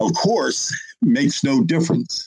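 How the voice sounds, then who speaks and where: Vocal fry marks this man's very slow delivery. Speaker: poet and publisher, panelist. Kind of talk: panel talk, plus a spoken word poem at 60:00 with measured, rhythmic, reflective cadence. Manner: measured, calm, reflective.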